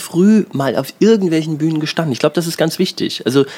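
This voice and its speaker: There is noticeable background noise. Over it, a man talks. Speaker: podcast host and comedian. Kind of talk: interview. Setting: outdoors on home terrace.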